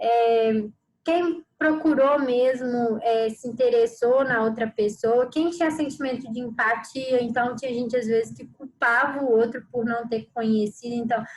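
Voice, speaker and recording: A woman talks at a fairly slow pace with hardly any pauses. Her voice is high, with fairly even intonation. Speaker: trainer. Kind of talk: online training presentation.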